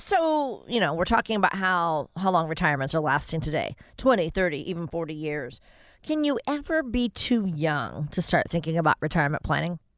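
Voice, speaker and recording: Over a very clean recording with a silent background, a woman talks at a fairly quick pace in a plain, everyday voice with lively intonation. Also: fairly low pitch for a woman. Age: 60s. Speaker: radio host. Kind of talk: radio interview.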